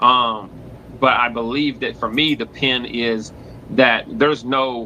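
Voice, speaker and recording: In a Tennessee accent, a man talks with ordinary pitch variation. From US South, Knoxville Tennessee. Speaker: battle rapper. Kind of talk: interview on live stream. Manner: hesitant, many fillers and repeats.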